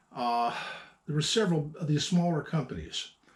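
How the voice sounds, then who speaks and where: A mumbling man with a fairly high pitch, lively intonation and a moderate pace. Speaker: antique gun collector. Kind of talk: casual talk to camera. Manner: halting, mumbling.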